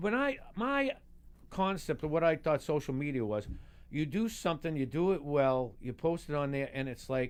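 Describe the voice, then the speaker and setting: Speaking with a Boston accent at a moderate pace, a man uses lively intonation and a fairly high pitch. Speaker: stand-up comedian. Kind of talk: casual talk show chat. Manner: halting, repeats words.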